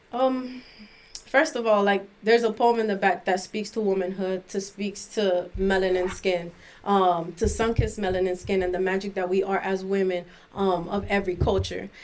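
With an American accent, a woman talks at a moderate pace and a medium pitch. Her intonation is fairly even, a plain, everyday voice. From Miami, Florida. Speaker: artist and author. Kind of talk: casual interview, poetry reading.

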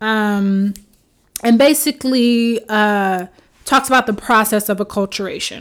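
With a New York accent, a woman talks at a fairly slow pace in a fairly high pitch with fairly even intonation, captured on a very clean recording against a silent background. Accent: New York American English. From New York, Haitian American family. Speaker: podcast host and mental health counselor. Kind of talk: solo podcast monologue. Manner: casual, many filler words.

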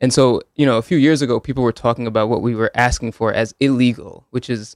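A man with a Northeastern US accent talks very fast in fairly even intonation. The sound is dry and close, with no echo. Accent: American, Northeast. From Connecticut (Hamden, Woodbridge). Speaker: law student and police accountability advocate. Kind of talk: radio interview. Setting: radio studio.

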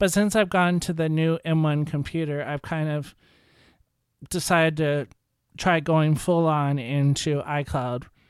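A man with a plain, everyday voice speaks at a fairly high pitch and a fairly slow pace. His intonation is fairly even, and the recording is very clean with a silent background. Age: 40s. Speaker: tech podcast host. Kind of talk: solo podcast review. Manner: casual.

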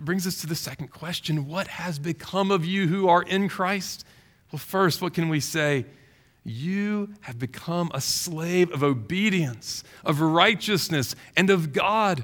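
A man's high-pitched voice in a Southern US accent, at a fairly slow pace with ordinary pitch variation. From Louisiana, Baton Rouge. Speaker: pastor. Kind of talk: sermon.

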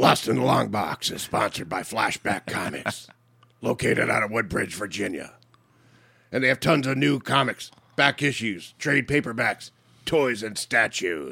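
A man puts on a gravelly, raspy character voice at medium pitch. He keeps to a moderate pace. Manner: gruff, dramatic.

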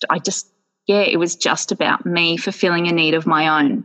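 Delivered at a fairly slow pace in an Australian accent, the speech shows ordinary pitch variation against a quiet background. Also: woman. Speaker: yoga wear business owner. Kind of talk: podcast interview. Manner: animated.

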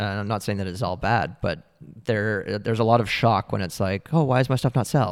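In a very clean recording with a silent background, a man with an ordinary speaking voice and a Canadian accent talks at a fairly quick pace, his pitch fairly low with ordinary pitch variation. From Ontario, Canada (Oakville). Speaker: art gallery owner. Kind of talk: interview.

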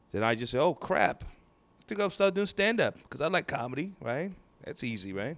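A man talks at a fairly quick pace with a fairly high pitch and vocal fry. His pitch swings very widely. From Nigeria (Lagos). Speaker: stand-up comedian. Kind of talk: casual chat. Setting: comedy venue.

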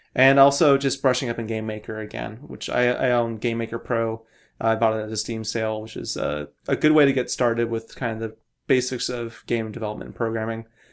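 Speaking at a fairly quick pace with a West Coast accent, a man of medium pitch shows ordinary pitch variation in a very clean recording with a silent background. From US Pacific Northwest, Portland. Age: 20s. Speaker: indie game developer. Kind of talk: casual chat.

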